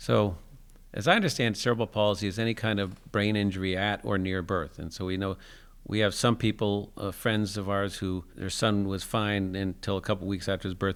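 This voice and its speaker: A man with an unremarkable speaking voice talks at a fairly quick pace with fairly even intonation. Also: very clean recording, silent background. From US Northeast (New Jersey). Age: 60s. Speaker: adaptive sports program founder. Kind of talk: interview conversation. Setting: school gym.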